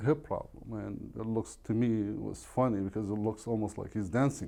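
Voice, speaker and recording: At a fairly quick pace, a man with an Arabic accent speaks in a dark, mellow tone, fairly low in pitch and with fairly even intonation. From Iraq. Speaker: real estate agent. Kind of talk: podcast interview.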